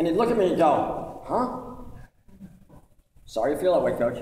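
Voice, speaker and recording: A man's voice with audible room echo. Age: 60s. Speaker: former referee, officiating director. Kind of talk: speech to referees. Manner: animated.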